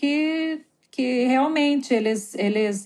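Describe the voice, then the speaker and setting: On a very clean recording with a silent background, a woman speaks very slowly at a high pitch. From Brazil, Curitiba. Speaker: photographer and educator living abroad. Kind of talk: interview, personal stories. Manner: hesitant, many fillers.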